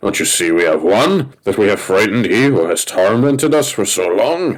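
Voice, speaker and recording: Using a put-on character voice, a man speaks at a moderate pace with very wide swings in pitch. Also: fairly low pitch for a man. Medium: read story. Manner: enraged.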